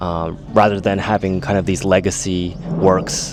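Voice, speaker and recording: Here a man speaks with a fairly low pitch and fairly even intonation. There is noticeable background noise in the recording. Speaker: travel vlogger. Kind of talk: casual vlog talk on location. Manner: hesitant, many fillers.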